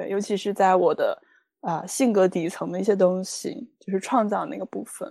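At a moderate pace, a woman speaks at a medium pitch with vocal fry and a dark, mellow tone, with ordinary pitch variation and big swings in loudness. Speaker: life coach. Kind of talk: interview conversation.

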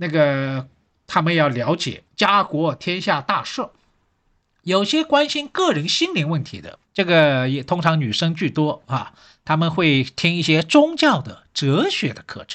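With a quiet background, a man with a fairly high pitch and an unremarkable speaking voice talks at a fairly slow pace, his pitch varying in an ordinary way while his loudness swings widely. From Shanghai. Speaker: history professor. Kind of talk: solo podcast talk.

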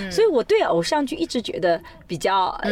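A woman speaks in an animated tone with very wide pitch swings. Noticeable background noise is present. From China, Suzhou. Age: 40s. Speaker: sociology professor. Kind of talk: interview conversation. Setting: in a car.

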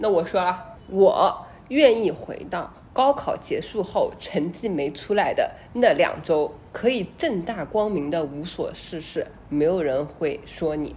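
A woman of medium pitch talks at a very slow pace. Her pitch swings very widely. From small city in China. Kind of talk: casual chat.

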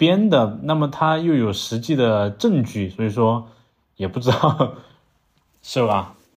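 On a very clean recording with a silent background, a man with a strong southern Chinese accent speaks at a very slow pace and medium pitch, his pitch swinging very widely. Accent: strong southern Chinese accent in Mandarin. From southern China, Langzhong, Sichuan. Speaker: podcast co-host. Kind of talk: casual chat. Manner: halting, many fillers.

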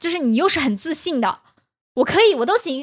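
Recorded dry and close with no echo, a woman's voice swings very widely in pitch. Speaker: podcast co-host. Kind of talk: casual chat.

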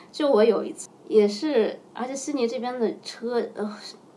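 Over noticeable background noise, a woman speaks fairly slowly at a fairly high pitch with very wide pitch swings. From China (Xinjiang, then Hainan). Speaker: chess coach. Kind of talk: casual interview chat.

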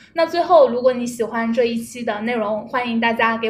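A woman's voice sits fairly high. She keeps a moderate pace. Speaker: podcast host. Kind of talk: casual chat. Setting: meeting room.

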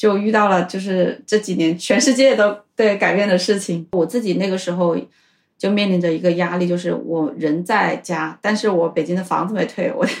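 A woman with a plain, everyday voice speaks at a medium pitch and a moderate pace. Her pitch varies in an ordinary way. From China, Hubei. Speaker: former tech worker, language student. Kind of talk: casual interview chat.

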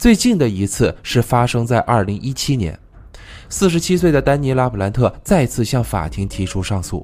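A man speaks at a moderate pace. His medium-pitched voice swings very widely in pitch. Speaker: true crime podcast host. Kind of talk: storytelling narration.

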